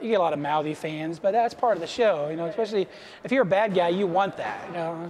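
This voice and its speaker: Amid noticeable background noise, a man speaks at a very fast pace with a high pitch and ordinary pitch variation. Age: 30s. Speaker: wrestling promoter. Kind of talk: documentary interview.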